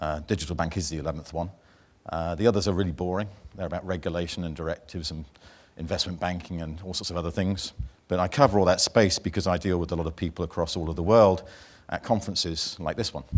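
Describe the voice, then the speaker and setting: Speaking at a very fast pace, a man with a British accent and a very deep, low pitch comes through on a very clean recording with a silent background. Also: fairly even intonation. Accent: British accent, noticeable to NZ audience. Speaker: banking industry speaker and author. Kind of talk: conference keynote. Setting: stage with audience at conference.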